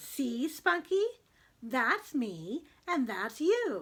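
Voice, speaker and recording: A put-on character voice drawls at a very slow pace, its pitch swinging very widely. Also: woman. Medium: read story.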